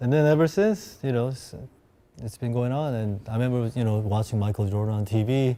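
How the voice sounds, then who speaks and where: Speaking at a fairly quick pace with a Korean accent, a man has a dark, mellow tone and ordinary pitch variation. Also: medium pitch for a man. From South Korea, moved to Seattle at 13. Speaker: sneaker collector. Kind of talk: casual chat.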